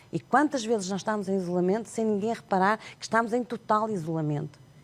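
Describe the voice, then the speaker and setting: Using a plain, everyday voice, a woman talks at a fairly quick pace with lively intonation. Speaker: sign language interpreter and author. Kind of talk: TV interview.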